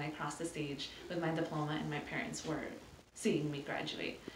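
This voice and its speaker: At a moderate pace, a woman speaks over noticeable background noise and audible room echo. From California. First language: Spanish. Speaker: nonprofit program manager. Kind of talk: interview. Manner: hesitant, many fillers.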